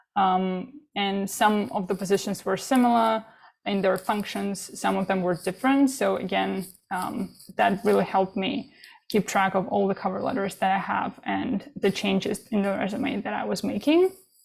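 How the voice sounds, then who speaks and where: A woman talks at a moderate pace in a medium pitch with a non-native accent. Her voice has vocal fry and ordinary pitch variation. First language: not English. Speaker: international student panelist. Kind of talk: panel presentation.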